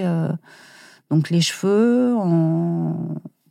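A woman's fairly low-pitched, dark, mellow voice in a very clean recording with a silent background, with a dry, close sound and no echo. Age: 40s. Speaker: stationery designer and comic author, cancer survivor. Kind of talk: interview. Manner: halting.

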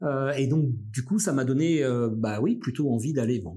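Somewhat breathy speech at a moderate pace, dark and mellow in tone, with lively intonation. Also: man. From Brittany, near Brest. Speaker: journalism school director and radio journalist. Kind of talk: interview. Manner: hesitant, many fillers and repetitions.

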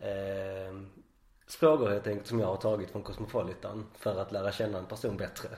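Somewhat breathy, a man with a fairly low pitch speaks with fairly even intonation. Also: moderate pace. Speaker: podcast host. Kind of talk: casual interview.

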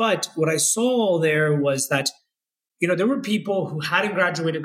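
This is an unremarkable speaking voice at a moderate pace. Its pitch shows ordinary variation. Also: man. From US South, Florida (Orlando). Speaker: tech executive. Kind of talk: casual interview.

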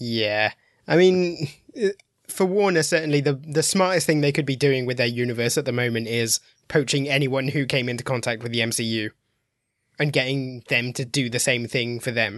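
Against a quiet background, a man speaks with an English Midlands accent at a medium pitch. He keeps a moderate pace with ordinary pitch variation. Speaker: film critic. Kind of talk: casual chat.

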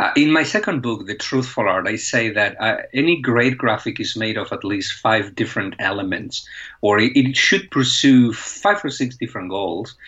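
In a Spanish accent, a man talks with lively intonation and hardly any pauses. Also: medium pitch for a man, moderate pace. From Spain. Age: 40s. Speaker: professor of visual journalism. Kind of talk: interview.

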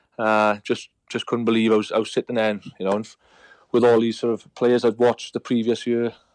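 On a very clean recording with a silent background and a dry, close sound with no echo, a man with a Welsh accent speaks at a fairly quick pace in a monotone, flat intonation. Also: medium pitch for a man. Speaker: retired rugby player. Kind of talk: casual chat.

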